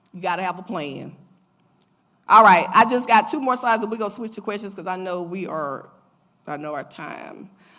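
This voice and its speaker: A woman's bright, sharp voice with lively intonation, big swings in loudness, long, frequent pauses and audible room echo. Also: medium pitch for a woman. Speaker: financial educator. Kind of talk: lecture. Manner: fast.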